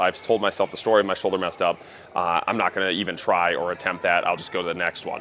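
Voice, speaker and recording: A very fast pace over noticeable background noise. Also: man. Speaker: strength coach. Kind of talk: casual vlog monologue in gym. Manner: animated; loud.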